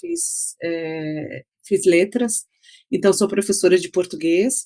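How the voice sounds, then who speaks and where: A woman speaks fairly slowly at a medium pitch, her pitch varying in an ordinary way. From Brazil, São Paulo city, raised in interior São Paulo. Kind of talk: interview conversation. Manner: halting, many fillers and repetitions.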